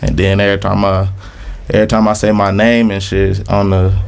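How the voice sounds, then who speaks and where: A man's monotone, flat intonation is heard with audible room echo and noticeable background noise. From Little Rock, Arkansas. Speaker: rapper. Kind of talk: casual interview.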